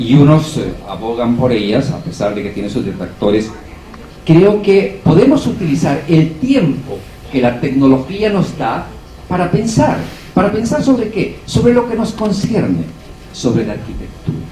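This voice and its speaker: The voice moves fairly slowly, with very wide pitch swings. There is audible room echo and noticeable background noise. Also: man, fairly high pitch for a man. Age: 60s. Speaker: architecture professor. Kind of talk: panel discussion.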